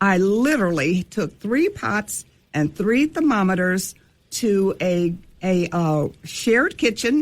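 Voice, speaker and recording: On a very clean recording with a silent background, a woman at a medium pitch speaks very slowly, her loudness very even and her pitch swinging very widely. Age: 70s. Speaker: candy shop owner. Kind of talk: interview.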